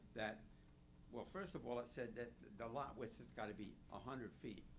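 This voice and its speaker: A man talks at a fairly quick pace, with medium pitch and vocal fry. Audible room echo is present. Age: 80s+. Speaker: resident speaking at public hearing. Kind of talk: public comment. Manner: halting.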